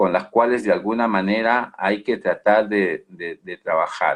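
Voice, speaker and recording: A man's medium-pitched voice at a fairly slow pace. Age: 60s. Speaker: management consultant. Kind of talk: webinar Q&A answer. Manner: halting, many fillers and repetitions.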